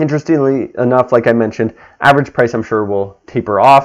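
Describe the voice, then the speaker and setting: A man speaks at a moderate pace with ordinary pitch variation. He has a normal speaking voice. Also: quiet background. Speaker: real estate agent. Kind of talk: market update video talk.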